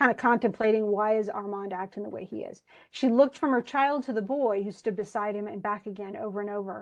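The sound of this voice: Here someone reads in an unforced voice.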